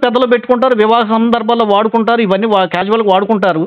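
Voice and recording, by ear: A man speaks at a very fast pace and a high pitch. His pitch moves very little.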